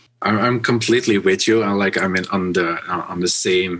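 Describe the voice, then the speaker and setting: A man speaks at a fairly quick pace with a Dutch accent and a fairly low pitch. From Netherlands. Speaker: business podcast host. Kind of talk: podcast interview. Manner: halting, many fillers.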